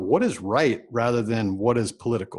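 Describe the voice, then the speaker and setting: This man has an unremarkable speaking voice, medium in pitch, with an American accent. He talks at a moderate pace on a very clean recording with a silent background. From Texas, Houston area. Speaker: entrepreneur and business mentor. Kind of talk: interview. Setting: podcast recording.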